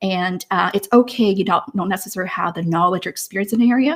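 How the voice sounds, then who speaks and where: A woman's enthusiastic, somewhat breathy voice at a medium pitch, fairly quick pace and ordinary pitch variation. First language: not English. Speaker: career coach and live show host. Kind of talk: live stream show. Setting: live online stream.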